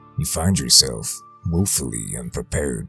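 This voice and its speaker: A man talks with music playing in the background. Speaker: horror story narrator. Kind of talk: creepypasta horror storytelling, western campfire tale.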